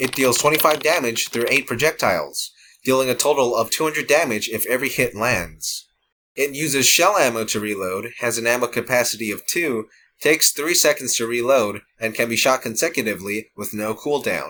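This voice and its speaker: Bright and sharp in tone, a man speaks at a fairly quick pace on a very clean recording with a silent background. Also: medium pitch for a man, ordinary pitch variation. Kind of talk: game guide narration.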